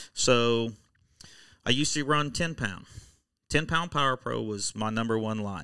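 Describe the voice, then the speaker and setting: Using an American accent, a man speaks at a medium pitch with a bright, sharp tone and ordinary pitch variation. He goes at a fairly slow pace with long, frequent pauses, on a very clean recording with a silent background. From Oklahoma. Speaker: electronics repair business owner and tournament angler. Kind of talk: casual interview.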